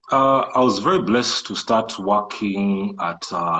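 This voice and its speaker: With a Kenyan coastal accent, a man talks at a moderate pace and a fairly low pitch, his tone bright and sharp, with ordinary pitch variation. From Kenya coast, Malindi. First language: Swahili. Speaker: entrepreneur and IT programmer. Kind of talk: interview. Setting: live social media video call.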